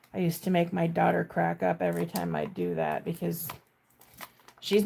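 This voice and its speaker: A woman talks fairly quickly with an American accent. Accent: slight Minnesotan, stronger at times. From Minnesota. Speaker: sewing content creator. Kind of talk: casual livestream chat. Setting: live stream. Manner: casual, chatty.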